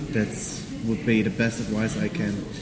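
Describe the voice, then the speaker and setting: A man with a German accent speaks at a fairly slow pace in a fairly low voice. Audible room echo and noticeable background noise surround him. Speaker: tax advisor, karate student. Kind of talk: interview. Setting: hotel lobby.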